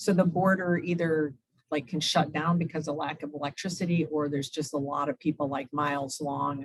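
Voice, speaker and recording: With a very deep, low pitch, a woman talks at a fairly quick pace using fairly even intonation. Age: 60s. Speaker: humanitarian aid volunteer. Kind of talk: Q&A after a club talk. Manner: conversational, with fillers.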